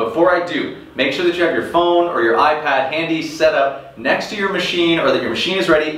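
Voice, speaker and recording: Spoken at a fairly quick pace, the words carry audible room echo. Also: man. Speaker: rowing coach. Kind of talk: workout intro talk to viewers. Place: garage.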